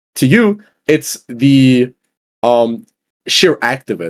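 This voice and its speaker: A man speaks with a non-native accent and lively intonation, in a dry, close sound with no echo. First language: not English. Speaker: podcast guest, gamer. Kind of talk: casual debate. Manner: animated.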